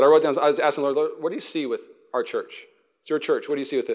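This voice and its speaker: On a very clean recording with a silent background, a man talks at a very fast pace in an animated tone. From US Pacific Northwest. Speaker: pastor. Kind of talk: sermon. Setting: church.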